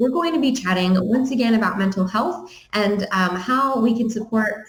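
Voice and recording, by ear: At a moderate pace, a woman talks with ordinary pitch variation amid audible room echo.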